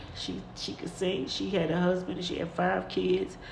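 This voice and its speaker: A woman speaks with audible room echo and noticeable noise behind her. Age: 50s. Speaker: podcast host. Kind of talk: personal monologue. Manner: halting.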